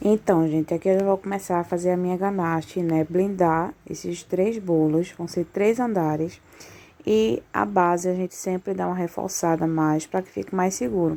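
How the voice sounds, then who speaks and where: This woman has a dark, mellow tone and a fairly low pitch, with ordinary pitch variation. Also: moderate pace. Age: 20s. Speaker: confectioner vlogger. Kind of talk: casual vlog tutorial. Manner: soft-spoken.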